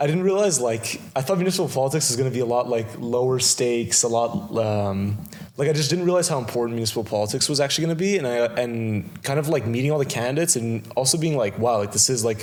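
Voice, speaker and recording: Speaking very fast with a Montreal accent, a man uses a medium pitch, lively intonation and very even loudness. Noticeable background noise runs underneath. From Quebec, Kirkland (Montreal West Island). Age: 20s. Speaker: municipal election candidate. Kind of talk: interview. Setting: video interview on camera. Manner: halting, many fillers.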